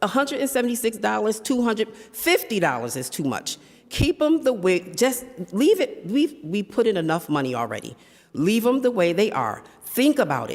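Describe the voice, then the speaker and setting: With an American accent and vocal fry, a woman speaks at a moderate pace, her fairly high pitch swinging very widely. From Springfield, Massachusetts, US. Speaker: resident giving public comment. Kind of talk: public testimony. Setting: city council chamber.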